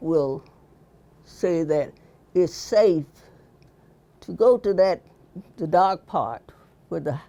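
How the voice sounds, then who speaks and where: Speaking very slowly in a Virginia accent, a woman of medium pitch uses lively intonation. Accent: Southern US (Virginia). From Halifax County, Virginia. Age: 80s+. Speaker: quilter. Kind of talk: interview answer.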